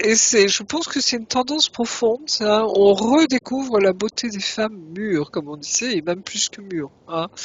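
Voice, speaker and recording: A woman with a plain, everyday voice speaks at a fairly high pitch and a fairly slow pace, her intonation lively. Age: 60s. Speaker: regressive hypnosis practitioner. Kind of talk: casual chat.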